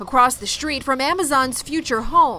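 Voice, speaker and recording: The woman's intonation is lively. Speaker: television news anchor and reporter. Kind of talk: broadcast news anchoring and field reporting. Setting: live on-location field reporting.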